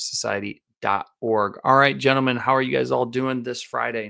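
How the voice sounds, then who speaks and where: A man in a very clean recording, silent in the background. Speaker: podcast host; youth football coach. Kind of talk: religious teaching podcast monologue. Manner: casual, conversational.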